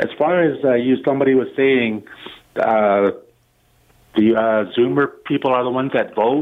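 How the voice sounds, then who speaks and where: A man with a Canadian accent, medium pitch, ordinary pitch variation and a moderate pace. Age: 50s. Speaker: caller. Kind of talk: call-in radio. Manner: halting.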